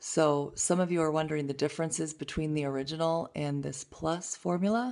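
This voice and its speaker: A woman's very deep, low voice at a fairly quick pace, with ordinary pitch variation and a quiet background. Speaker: beauty product demonstrator. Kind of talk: product demo tutorial. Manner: casual, chatty.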